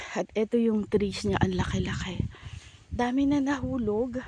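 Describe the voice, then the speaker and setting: The pace is very slow as a woman speaks. Her voice sits fairly high, with ordinary pitch variation. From Philippines. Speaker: vlogger. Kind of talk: casual vlog. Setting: outdoors. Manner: quiet, not full volume; usually very loud.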